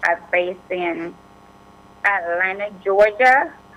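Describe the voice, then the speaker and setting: At a fairly slow pace, a woman talks with a Jamaican accent. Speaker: immigration attorney. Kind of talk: radio interview.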